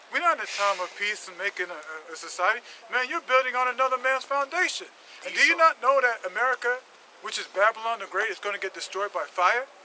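Raised and projected, a man's extremely high voice races at a very fast pace with lively intonation, the sound dry with no echo and light background noise behind it. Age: 40s. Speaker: street preacher. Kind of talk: sermon. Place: street. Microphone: phone near.

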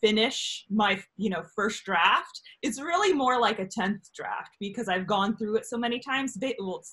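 A woman's moderate-paced speech with hardly any pauses and ordinary pitch variation. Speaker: guest. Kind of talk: interview answer. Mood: animated and joking. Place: home room. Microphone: video call.

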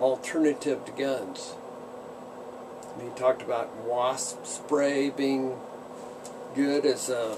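Noticeable background noise runs behind a man who speaks at a very slow pace. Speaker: pipe smoking vlogger. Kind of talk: casual vlog chat. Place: workshop. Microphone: phone near.

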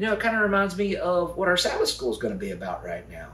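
The man's voice carries an audible room echo. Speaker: children's lesson host. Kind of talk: host talk to children. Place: kitchen. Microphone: camera far.

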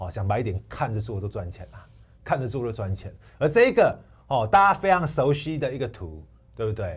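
A somewhat breathy voice at a fairly quick pace, with big swings in loudness, very wide pitch swings and a quiet background. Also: man. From Taiwan. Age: 40s. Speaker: stock analyst. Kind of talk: sales pitch. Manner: animated. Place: studio. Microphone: lapel.

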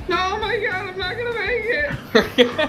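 A woman performs a put-on character voice, squeaky and pitched extremely high. She speaks at a moderate pace over loud background noise. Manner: distressed, frantic.

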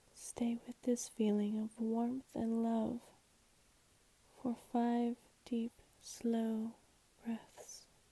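Very slowly and soft-spoken, a woman with a fairly high pitch and a dark, mellow tone speaks in a flat monotone, leaving long, frequent pauses in a dry, close sound with no echo. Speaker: ASMR and guided meditation creator. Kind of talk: guided meditation reading. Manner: soft-spoken, slow, calming.

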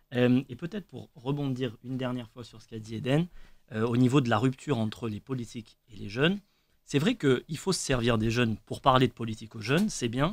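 The speaker talks at a fairly quick pace with ordinary pitch variation and big swings in loudness. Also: man, medium pitch for a man. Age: 20s. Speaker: trainee lawyer; radio guest. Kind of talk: radio panel discussion. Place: studio. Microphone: studio mic.

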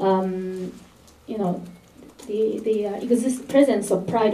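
A woman with a Japanese accent speaks at a medium pitch and a fairly slow pace, her intonation fairly even. There is audible room echo and light background noise. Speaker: interviewer and interpreter; interviewer. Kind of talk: interview with interpreting. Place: meeting room.

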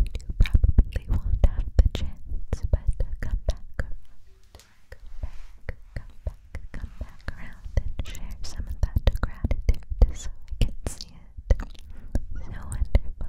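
Very slowly, a woman speaks in a whisper. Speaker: relaxation video host. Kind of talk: soft whispered relaxation talk. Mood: warm, soothing, encouraging. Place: home room. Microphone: studio mic.

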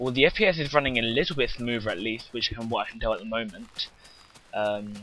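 Over noticeable background noise, a man with a medium pitch speaks at a very fast pace with ordinary pitch variation. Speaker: gaming youtuber. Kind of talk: gameplay commentary. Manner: soft-spoken.

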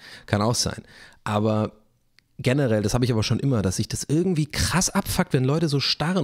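A man at a moderate pace with lively intonation, over a quiet background. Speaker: YouTuber and streamer; YouTuber, streamer. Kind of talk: casual solo vlog monologue. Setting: home studio in living room. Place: home room. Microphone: close to the microphone; studio mic.

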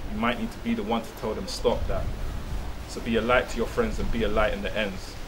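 A man's fairly quick speech comes through with noticeable background noise behind it. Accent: London. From London. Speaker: spoken word poet. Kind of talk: spoken word performance. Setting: outdoors on the street. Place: street. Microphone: handheld.

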